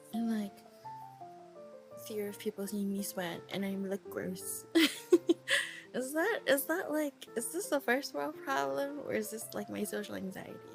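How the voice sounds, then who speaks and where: With music in the background, a woman speaks with long, frequent pauses. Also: fairly slow pace. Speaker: VTuber. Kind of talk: casual spoken audio diary. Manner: rambling, casual, frequent filler words.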